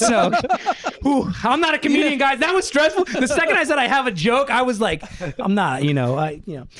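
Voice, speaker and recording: A man with an American accent and very wide pitch swings, amid noticeable background noise. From Brooklyn, New York. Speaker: film editor. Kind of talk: casual chat. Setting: living room.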